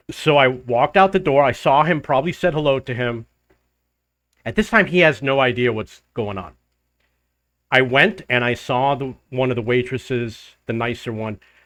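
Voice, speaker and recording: At a moderate pace, a man speaks in a medium pitch with ordinary pitch variation, on a very clean recording with a silent background. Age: middle-aged. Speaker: travel vlogger. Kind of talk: casual monologue.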